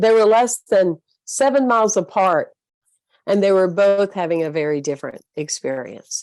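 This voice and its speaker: A woman talks at a medium pitch and moderate pace with a Southern US accent. Her intonation is lively, and the sound is dry and close with no echo. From US South. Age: 60s. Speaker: spiritual leader and motivational speaker. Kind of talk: interview talk. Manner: hesitant fillers.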